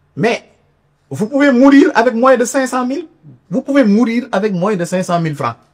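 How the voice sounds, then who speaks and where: A man talks at an extremely high pitch. He leaves long, frequent pauses. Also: lively intonation, moderate pace. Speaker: labour inspector giving a seminar talk. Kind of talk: seminar lecture. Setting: university seminar room with audience. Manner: halting, with repetitions and fillers.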